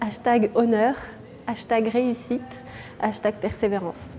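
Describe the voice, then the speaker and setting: A woman with a high pitch speaks at a fairly slow pace against noticeable background noise. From France, Bordeaux. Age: 30s. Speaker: chocolatier and business owner. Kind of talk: interview. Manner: hesitant, many fillers.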